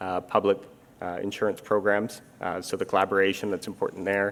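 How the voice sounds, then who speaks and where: Talking at a very fast pace, a man with a Canadian accent uses a fairly low pitch. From Canada, Vancouver. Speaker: international insurance standards official. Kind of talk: interview on stage. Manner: many fillers (um, uh).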